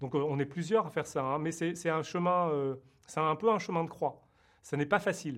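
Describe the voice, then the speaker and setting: A man's fairly high voice at a moderate pace, with ordinary pitch variation over a quiet background. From France. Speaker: TV producer and screenwriter. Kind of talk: interview. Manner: halting, many repetitions and fillers.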